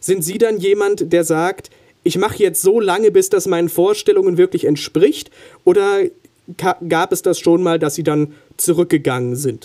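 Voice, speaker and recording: At a moderate pace, a man with a high pitch and a dark, mellow tone speaks with ordinary pitch variation. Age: young. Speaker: trainee radio interviewer. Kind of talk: radio interview. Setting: radio studio. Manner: formal.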